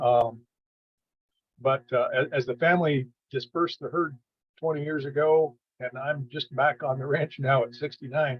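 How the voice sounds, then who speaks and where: A man with a fairly high pitch and a somewhat breathy voice keeps a moderate pace and fairly even intonation, with long, frequent pauses. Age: 60s. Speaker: rancher. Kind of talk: casual sharing in online workshop. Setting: video call. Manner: halting.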